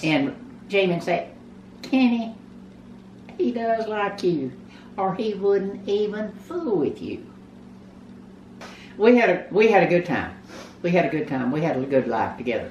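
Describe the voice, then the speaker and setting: A woman with a Texan accent talks at a moderate pace, pausing long and often, her pitch swinging very widely and her loudness rising and falling sharply. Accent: Texan Southern American. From Texas. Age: 80s+. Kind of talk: interview answer.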